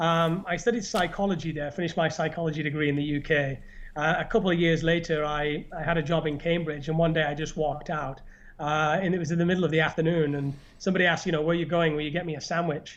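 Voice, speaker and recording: Very fast and fairly high-pitched, a man with a northern English accent talks with fairly even intonation. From northern England. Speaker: YouTuber and podcast host. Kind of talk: casual chat. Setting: live stream.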